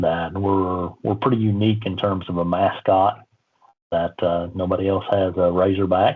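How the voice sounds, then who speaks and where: A man speaks at a moderate pace in a very deep, low pitch. His intonation is monotone and flat. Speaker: civil engineering professor. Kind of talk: casual interview. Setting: video call.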